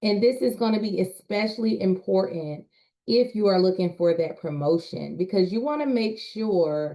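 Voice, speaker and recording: Very slow in pace, a woman speaks with lively intonation. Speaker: communication specialist and public speaker. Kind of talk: presentation.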